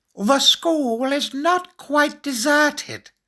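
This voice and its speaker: This is a put-on character voice pitched high. It moves at a very slow pace. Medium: read story. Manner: calm, measured.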